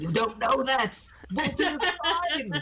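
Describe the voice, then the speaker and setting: A shrill, high-pitched put-on character voice with very wide pitch swings at a fairly slow pace, over clear background noise. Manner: shrieking, furious, anguished.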